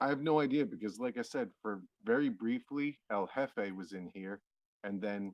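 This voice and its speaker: A man with an American accent talks at a moderate pace and medium pitch. He has an ordinary speaking voice with ordinary pitch variation. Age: 30s. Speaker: streamer. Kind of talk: casual chat. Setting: live stream.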